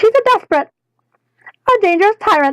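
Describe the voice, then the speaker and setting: A woman puts on a squeaky, breathy character voice at an extremely high pitch, talking at a fairly quick pace in a theatrical tone. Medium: read story. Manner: airy, theatrical.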